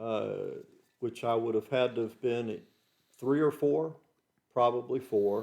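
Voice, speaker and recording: A man with an American accent, medium in pitch, at a fairly slow pace with ordinary pitch variation and long, frequent pauses. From US South, Georgia. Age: 60s. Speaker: host's father, interviewee. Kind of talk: casual chat.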